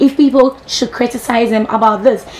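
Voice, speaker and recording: Fairly quick speech from a woman with a fairly high pitch, against noticeable background noise. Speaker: TV entertainment show host. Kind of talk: entertainment news presenting. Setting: TV studio, live broadcast.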